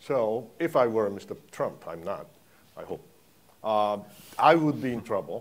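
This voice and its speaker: A man talks with a Japanese accent. His pitch is medium and his pace moderate. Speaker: foreign policy analyst. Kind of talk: panel discussion. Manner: halting.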